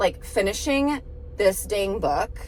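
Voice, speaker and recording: This recording features a woman's voice. Noticeable background noise is also audible. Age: 30s. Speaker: vlogger and novelist. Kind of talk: casual vlog talk to camera. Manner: chatty, filler-heavy.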